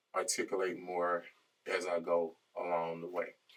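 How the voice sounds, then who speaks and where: A quiet man's voice, very deep and low in pitch, with music in the background. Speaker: podcast co-host. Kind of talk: casual chat.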